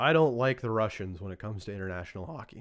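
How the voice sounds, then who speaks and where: In a very clean recording with a silent background, a man with a western Canadian accent speaks at a medium pitch with lively intonation. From Alberta, Canada. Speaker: podcast host. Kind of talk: casual chat.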